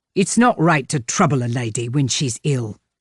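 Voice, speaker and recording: A put-on character voice, growling at a moderate pace and a low-to-middle pitch against a quiet background. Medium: read story. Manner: plain-spoken, blunt.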